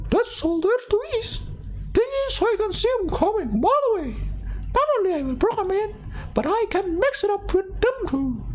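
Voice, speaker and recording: Clear background noise sits behind the speech. The voice is a squeaky, put-on character voice. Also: moderate pace. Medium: virtual streamer. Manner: smug, streetwise.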